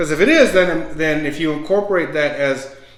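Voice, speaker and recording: Noticeable background noise sits behind this man's voice. He talks at a fairly high pitch and a fairly quick pace. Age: 60s. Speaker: podcast host and author. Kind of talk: casual interview chat. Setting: home recording, on camera. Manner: repetitive, stammering restarts.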